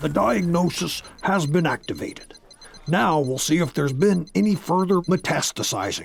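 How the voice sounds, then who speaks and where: A man puts on a gruff character voice pitched high. He speaks at a moderate pace. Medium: read story. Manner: gruff, curt.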